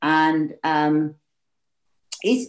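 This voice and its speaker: The speaker is a woman. Her voice moves in very wide pitch swings. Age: 60s. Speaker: wellbeing teacher and healer. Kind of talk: casual interview chat.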